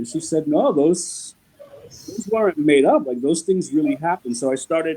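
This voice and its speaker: Using a normal speaking voice, this man delivers his words with lively intonation at a fairly high pitch. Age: 40s. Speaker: writer. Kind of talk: interview.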